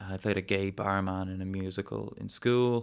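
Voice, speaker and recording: A man speaks with a Dublin accent. His intonation stays fairly even. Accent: Dublin Irish. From Ireland, Dublin suburbs. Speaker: travel documentary maker and comedian. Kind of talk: casual chat. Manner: halting, many fillers and repeats.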